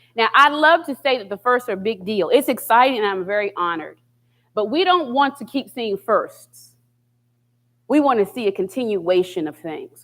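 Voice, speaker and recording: A woman with an American accent talks fairly quickly, her fairly high voice lively in intonation, an ordinary speaking voice. The recording is very clean with a silent background. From West Virginia (Charleston, Appalachia). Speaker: university diversity officer. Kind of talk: speech.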